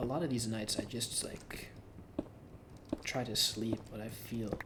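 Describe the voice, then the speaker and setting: The voice is a whisper. Background noise is clearly audible. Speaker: gaming youtuber. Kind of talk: casual vlog monologue.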